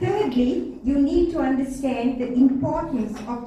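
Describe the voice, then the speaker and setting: With audible room echo and noticeable background noise, a woman speaks fairly slowly in a high pitch with ordinary pitch variation. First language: not English. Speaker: sex educator and speaker. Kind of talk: public talk to parents.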